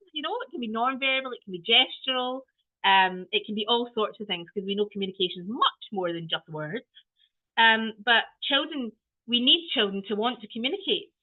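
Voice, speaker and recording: With a Scottish accent, a woman speaks fairly quickly at a fairly high pitch. Her intonation is lively and her loudness swings widely. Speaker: early years trainer. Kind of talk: training webinar.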